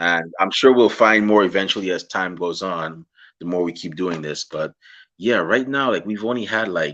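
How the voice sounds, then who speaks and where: A man's fairly low, bright, sharp voice with a Guyanese accent, a fairly quick pace and ordinary pitch variation against a quiet background. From Guyana. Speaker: podcast host. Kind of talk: interview. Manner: casual.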